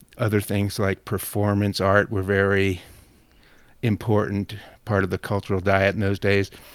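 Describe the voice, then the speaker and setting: A man speaks at a moderate pace with a fairly low pitch and monotone, flat intonation. The recording is very clean, with a silent background. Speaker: magazine editor and writer. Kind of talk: casual interview chat. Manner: rambling, hesitant with fillers.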